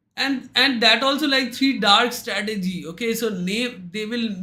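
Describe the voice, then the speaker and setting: A man speaks in a raised, projected voice with a bright, sharp tone at a fairly slow pace. The recording is very clean, with a silent background. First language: Bengali. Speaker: trading indicator vendor. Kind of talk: livestream chat with market commentary. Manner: hesitant, many fillers.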